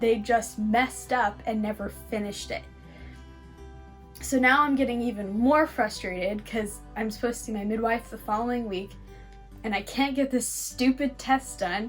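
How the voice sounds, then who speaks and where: With music in the background, a woman talks at a moderate pace with a Californian accent. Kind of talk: casual story time talk to camera.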